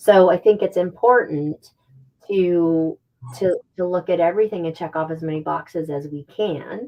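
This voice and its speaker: A woman with a fairly low voice keeps her intonation fairly even and talks at a moderate speed. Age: 60s. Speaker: pet supplement company founder. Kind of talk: casual interview. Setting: live video stream. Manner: halting, many repeated words.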